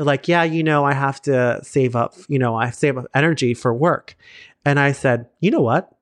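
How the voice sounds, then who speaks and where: With a plain, everyday voice and an American accent, a man speaks at a moderate pace with a fairly high pitch and fairly even intonation, in a dry, close sound with no echo and a quiet background. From South Florida. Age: 30s. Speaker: creator, teacher and choreographer. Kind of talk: casual chat.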